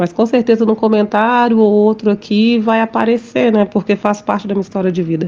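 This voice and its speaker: Her pitch is medium and varies in an ordinary way. This woman speaks at a fairly quick pace. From Minas Gerais, Brazil. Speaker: podcast host, holistic therapist. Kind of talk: casual monologue. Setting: home recording.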